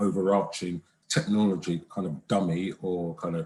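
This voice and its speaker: This man has a fairly low pitch and a dark, mellow tone. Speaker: conference presenter, economist. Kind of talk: academic presentation. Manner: hesitant, many fillers; soft-spoken. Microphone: too quiet, far from the mic.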